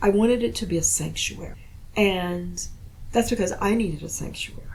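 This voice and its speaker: Audible room echo surrounds a fairly quick speaker with an American accent. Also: woman. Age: 60s. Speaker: poet. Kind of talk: casual chat.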